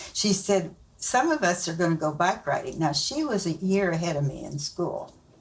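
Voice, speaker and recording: A woman with a Midwestern US accent, fairly low in pitch, at a moderate pace with ordinary pitch variation. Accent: rural Midwestern American. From Nebraska, rural US Midwest. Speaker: grandmother being interviewed. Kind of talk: family interview, storytelling.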